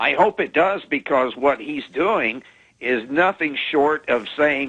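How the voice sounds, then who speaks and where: A normal speaking voice, a man's, fairly high in pitch with lively intonation. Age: 60s. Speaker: caller. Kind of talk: call-in to radio show.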